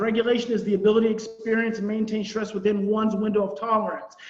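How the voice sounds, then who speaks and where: Against noticeable background noise, a man speaks at a very fast pace with a high pitch. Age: 40s. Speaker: parenting and attachment trauma expert. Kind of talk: online conference presentation. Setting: virtual conference.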